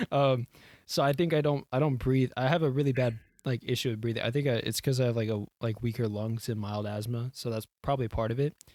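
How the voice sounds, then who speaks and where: A man with a Houston accent talks at a very fast pace with fairly even intonation. The recording is very clean with a silent background and a dry, close sound with no echo. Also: medium pitch for a man. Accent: Houston accent, self-described as weird. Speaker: podcast co-host. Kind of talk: casual chat. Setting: podcast recording with headphones. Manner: stutters, runs out of breath.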